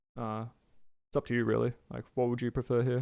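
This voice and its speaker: Speaking at a fairly quick pace, a man has a medium pitch. The recording is very clean, with a silent background. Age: 30s. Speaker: video game streamer. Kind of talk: casual livestream chat. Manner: casual, halting with many fillers.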